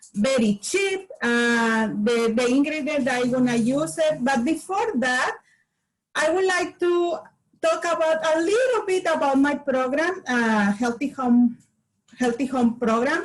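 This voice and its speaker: A woman with a Spanish accent speaks at a fairly slow pace in a high pitch, her intonation lively. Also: very even loudness. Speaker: community health promoter. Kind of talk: workshop demonstration. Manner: halting.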